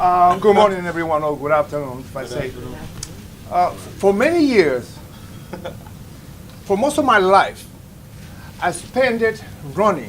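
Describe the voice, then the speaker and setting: Loud and high-pitched, a man speaks at a fairly slow pace with long, frequent pauses and very wide pitch swings over noticeable background noise. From Dominican Republic. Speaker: veteran in recovery. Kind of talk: testimony.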